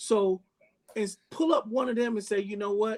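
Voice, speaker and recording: A loud, high-pitched male voice at a moderate pace, with a dry, close sound and no echo. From Bahamas and Jamaica. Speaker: chef. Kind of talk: interview conversation. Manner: animated.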